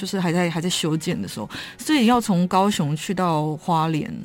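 Music plays behind a woman speaking at a fairly quick pace. Her voice is fairly low, with ordinary pitch variation. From Taiwan, Kaohsiung. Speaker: writer. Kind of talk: interview; reading aloud. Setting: studio.

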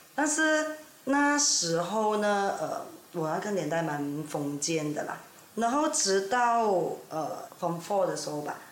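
Amid noticeable background noise and audible room echo, a woman talks at a very slow pace with very wide pitch swings. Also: medium pitch for a woman. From Ipoh, Perak, Malaysia. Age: 40s. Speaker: guest. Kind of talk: casual chat.

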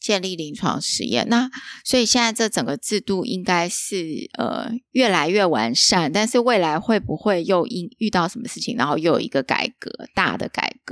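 On a very clean recording with a silent background, a woman with an unremarkable speaking voice talks at a moderate pace and medium pitch. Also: lively intonation. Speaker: podcast host. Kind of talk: casual interview chat. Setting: empty office.

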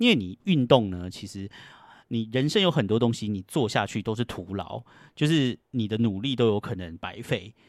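A man's medium-pitched voice at a moderate pace, with a dry, close sound and no echo. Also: ordinary pitch variation. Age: 40s. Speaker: podcast host. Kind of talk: casual solo monologue. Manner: animated.

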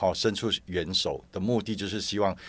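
Vocal fry in a man's fairly low voice, on a very clean recording with a silent background. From Malaysia. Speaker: pilgrimage support group organizer. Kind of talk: casual interview chat.

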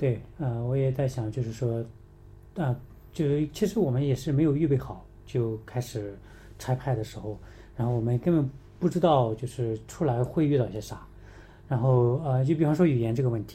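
A man speaks at a moderate pace and medium pitch, with ordinary pitch variation and long, frequent pauses. His tone is dark and mellow and somewhat breathy. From mainland China. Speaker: missions mobilizer. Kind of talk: casual interview. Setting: in person in the same room.

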